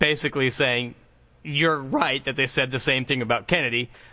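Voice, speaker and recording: This man has an unremarkable speaking voice, pitched fairly high, with fairly even intonation. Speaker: podcast host. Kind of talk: casual podcast chat.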